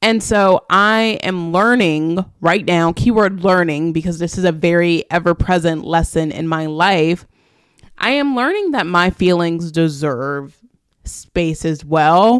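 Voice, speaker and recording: A woman with an unremarkable speaking voice talks at a fairly slow pace, her pitch fairly low with ordinary variation. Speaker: podcast host. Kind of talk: solo podcast monologue.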